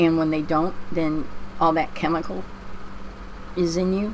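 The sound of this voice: A woman with a low pitch in a Pennsylvania accent. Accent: American, Pennsylvania.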